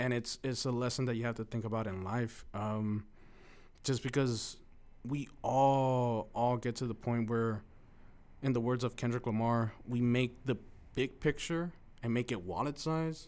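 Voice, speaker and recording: Medium pitch from a man, intonation fairly even. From Mexico, raised in East Los Angeles. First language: Spanish. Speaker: former college speech competitor. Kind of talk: casual interview.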